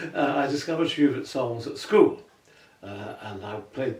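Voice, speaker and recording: Noticeable background noise behind speech with lively intonation. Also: man. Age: 80s+. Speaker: retired tenor singer. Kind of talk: interview conversation. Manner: halting, with frequent repetitions.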